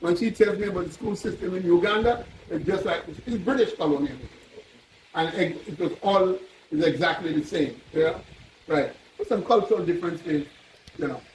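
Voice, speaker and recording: With a Trinidadian accent, a man speaks at a moderate pace and high pitch with ordinary pitch variation, leaving long, frequent pauses against noticeable background noise. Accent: Trinidad and Tobago English. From Tobago, Trinidad and Tobago. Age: 70s. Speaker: visitor tracing his ancestry. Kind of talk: storytelling to elders. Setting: meeting at a chief's palace.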